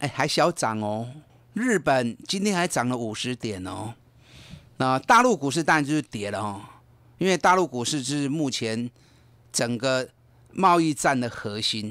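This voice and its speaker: On a very clean recording with a silent background, a man of medium pitch speaks at a fairly slow pace with lively intonation and long, frequent pauses. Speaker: investment advisor. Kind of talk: radio market commentary. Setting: radio studio. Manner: animated, emphatic.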